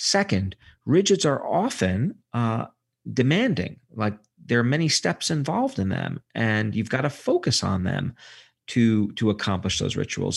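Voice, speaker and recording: This man speaks at a moderate pace in a somewhat breathy, medium-pitched voice. The recording is very clean, with a silent background. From Brooklyn, New York. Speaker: psychology professor and author. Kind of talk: interview. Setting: studio.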